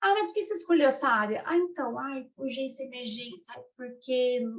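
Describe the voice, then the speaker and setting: A woman with a high pitch speaks with very wide pitch swings. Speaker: career mentor for nurses. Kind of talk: online group mentoring talk. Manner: fast; animated.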